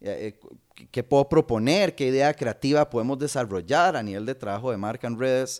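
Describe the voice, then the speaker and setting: A man talks at a moderate pace with a Costa Rican accent. His pitch sits in the middle range. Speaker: comedian. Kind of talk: casual chat.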